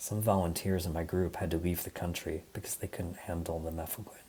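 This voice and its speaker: The speaker is a man with an American accent. His voice is somewhat breathy. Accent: American, plain. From US Midwest, Michigan. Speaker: design leader, conference speaker. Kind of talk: conference talk.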